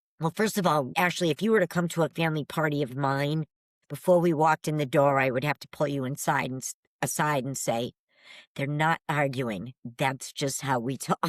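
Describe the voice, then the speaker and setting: A woman's very deep, low voice with an American accent, ordinary pitch variation and a moderate pace, dry and close with no echo on a very clean recording with a silent background. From New England. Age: 60s. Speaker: paranormal investigator. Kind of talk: casual chat.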